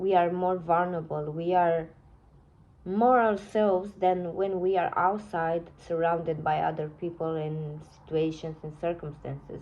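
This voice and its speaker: A woman speaks with a non-native accent at a medium pitch. Her pace is moderate and her intonation fairly even. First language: not English. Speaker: tarot reader. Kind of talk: tarot reading. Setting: phone recording. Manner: halting, self-correcting.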